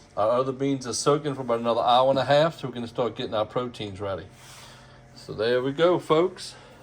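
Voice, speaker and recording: A man's medium-pitched voice in a Louisiana accent, very fast, with ordinary pitch variation. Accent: Cajun Louisiana. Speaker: home cook. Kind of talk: cooking video narration. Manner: folksy, casual.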